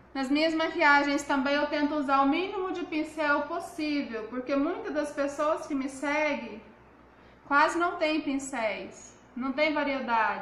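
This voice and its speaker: There is audible room echo around a woman who speaks at a high pitch and a fairly slow pace. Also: ordinary pitch variation. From Brazil, Goiás. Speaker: makeup artist and seller. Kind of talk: live makeup tutorial. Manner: chatty, informal. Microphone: phone near.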